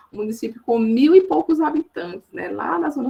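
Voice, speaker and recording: Speaking with a Paraíba accent, a woman uses a fairly high pitch with very wide pitch swings. Her pace is moderate. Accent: Paraíba northeastern Brazilian. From Northeast Brazil, Campina Grande, Paraíba. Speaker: education professor. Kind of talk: lecture. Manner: halting, many fillers.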